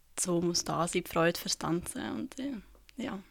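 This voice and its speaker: In a central Swiss accent, a woman speaks at a very slow pace, her medium pitch carrying lively intonation. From Switzerland, canton Obwalden. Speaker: dance student. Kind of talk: interview.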